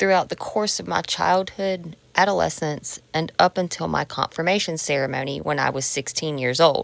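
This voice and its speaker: Hardly pausing, a woman speaks with a very deep, low pitch, lively intonation and vocal fry. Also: moderate pace. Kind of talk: personal memoir narration. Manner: unfiltered, personal.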